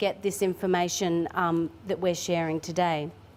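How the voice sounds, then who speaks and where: Fairly even intonation from a woman in an Australian accent. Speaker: government tourism official presenting. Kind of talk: conference presentation. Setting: conference room with audience. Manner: fast.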